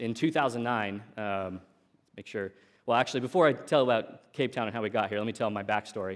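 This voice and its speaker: A man with an American accent, medium pitch and ordinary pitch variation, a normal speaking voice, in a very clean recording with a silent background. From US Pacific Northwest, Oregon coast. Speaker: tech entrepreneur, conference speaker. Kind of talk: conference talk. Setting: stage with audience. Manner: casual, frequent fillers and repetitions.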